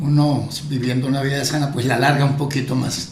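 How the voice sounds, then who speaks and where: A man talks with a fairly high pitch. Noticeable background noise and audible room echo surround his voice. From Colombia, Cundinamarca. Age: 70s. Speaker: pastor. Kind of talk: casual interview chat.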